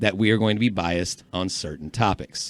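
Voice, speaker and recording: A man with an American accent and an ordinary speaking voice talks at a moderate pace with a fairly low pitch. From North Carolina, Chapel Hill. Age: 40s. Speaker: sports podcast co-host. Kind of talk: casual chat.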